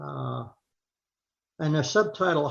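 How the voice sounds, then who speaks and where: Somewhat breathy and fairly high-pitched, a man speaks at a fairly slow pace. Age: 80s+. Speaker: retired psychologist. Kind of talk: lay sermon talk.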